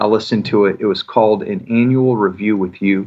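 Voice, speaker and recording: An unremarkable speaking voice belongs to a man with an American accent at a medium pitch. He keeps a moderate pace with ordinary pitch variation. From US Midwest, Michigan (north of Detroit). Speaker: executive and leadership coach. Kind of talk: interview conversation.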